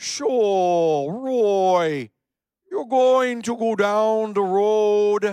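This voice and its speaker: A put-on character voice, fairly high in pitch, at a very slow pace. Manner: giving directions.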